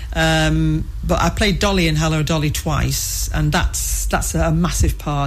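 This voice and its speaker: A woman's voice carries audible room echo along with noticeable background noise. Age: 60s. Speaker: amateur theatre performer. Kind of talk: interview.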